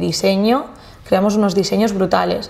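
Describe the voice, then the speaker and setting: A woman is speaking. Her pace is moderate. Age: 20s. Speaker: luxury event planner; podcast guest. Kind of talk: casual interview chat. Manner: animated. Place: studio.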